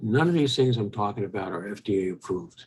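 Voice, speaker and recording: This man talks at a moderate pace. There is a somewhat breathy edge to his voice. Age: 80s+. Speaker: retired physician. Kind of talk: health talk monologue. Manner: halting, frequent fillers.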